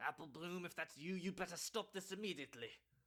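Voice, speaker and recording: Using a put-on character voice, a man talks at a very fast pace with a high pitch. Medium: audio drama. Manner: stern, commanding.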